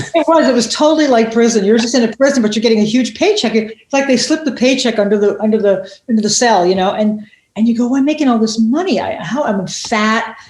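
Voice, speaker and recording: Talking at a very fast pace with an animated tone, a woman uses a fairly high pitch, ordinary pitch variation and very even loudness, with audible room echo around her. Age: 60s. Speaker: comedian and TV writer. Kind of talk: interview. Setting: podcast. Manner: halting.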